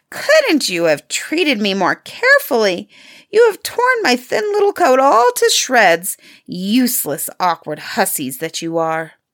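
A woman speaks at a fairly slow pace in a shrill, high-pitched, put-on character voice. The recording is very clean, with a silent background. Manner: angry, scolding.

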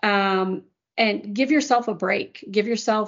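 A woman with an American accent has an unremarkable speaking voice. Her pitch is fairly high, with ordinary pitch variation. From US Midwest, Chicago area. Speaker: corporate executive. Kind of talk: casual chat.

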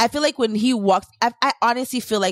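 Recorded very cleanly against a silent background, a woman talks at a moderate pace in an animated tone. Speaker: podcast host. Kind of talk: casual chat.

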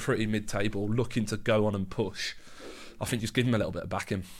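A man talks at a very fast pace, his fairly low voice keeping a fairly even intonation. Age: 20s. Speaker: football podcast co-host. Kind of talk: casual chat. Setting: studio.

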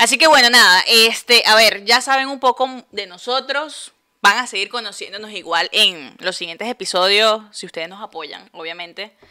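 With an ordinary speaking voice, a woman of fairly high pitch talks at a moderate pace with hardly any pauses, lively intonation and big swings in loudness. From Venezuela, Puerto Ordaz. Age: 20s. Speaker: podcast co-host. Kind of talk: casual chat.

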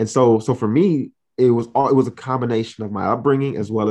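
Using a normal speaking voice, a man talks at a fairly quick pace. His pitch varies in an ordinary way. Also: quiet background. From Miami, Florida (Haitian-American family). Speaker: diversity and inclusion consultant. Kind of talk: interview.

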